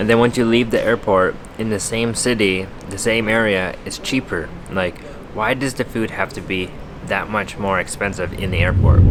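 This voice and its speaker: A man with a fairly low pitch and an American accent, fairly even intonation and a moderate pace, amid noticeable background noise. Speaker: travel vlogger. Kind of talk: casual vlog talk to camera. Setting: airport terminal.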